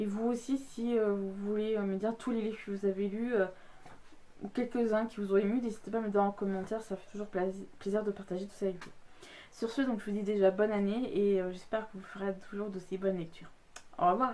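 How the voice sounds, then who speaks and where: A woman's voice, dark and mellow in tone and medium in pitch, moves at a fairly quick pace with fairly even intonation. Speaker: book youtuber. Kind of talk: casual vlog talk. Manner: fast; hesitant, many fillers.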